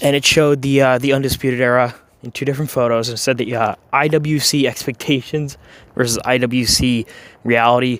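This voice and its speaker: At a fairly quick clip, a man speaks at a medium pitch in a flat monotone. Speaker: wrestling commentary youtuber. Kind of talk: opinion rant. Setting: home recording. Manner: halting, many fillers. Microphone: audio issues.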